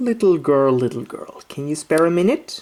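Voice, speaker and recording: The voice is a put-on character act. Its pitch lands in the middle. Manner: smooth, coaxing.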